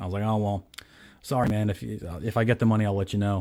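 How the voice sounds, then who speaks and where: A man's fairly low-pitched, dark and mellow voice, with an American accent and fairly even intonation. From New York, Staten Island. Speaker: guitar gear video host. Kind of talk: casual chat.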